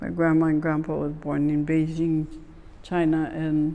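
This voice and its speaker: With a Hawaiian accent, a woman speaks in a very deep, low voice with a dark, mellow tone. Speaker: oral history interviewee. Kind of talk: oral history interview. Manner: halting.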